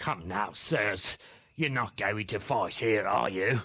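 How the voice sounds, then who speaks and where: A man uses a raspy, put-on character voice at a fairly low pitch and a fairly slow pace, with very even loudness. The recording is very clean, with a silent background. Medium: video game. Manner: blunt, folksy.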